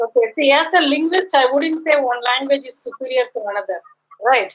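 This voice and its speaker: A woman with a Tamil accent speaks in a high voice. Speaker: linguist. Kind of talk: academic Q&A.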